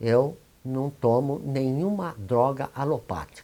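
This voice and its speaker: This man's voice has a dark, mellow tone. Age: 80s+. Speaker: spiritist leader and homeopath. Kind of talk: interview testimony. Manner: halting.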